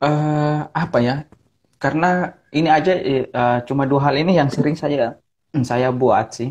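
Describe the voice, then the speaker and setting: The speech comes at a fairly slow pace over a quiet background. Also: man, fairly high pitch for a man. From Ambon, Maluku, Indonesia. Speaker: pastor. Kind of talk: casual chat. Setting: video call. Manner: energetic. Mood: relaxed, smiling. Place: home room. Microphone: earbuds.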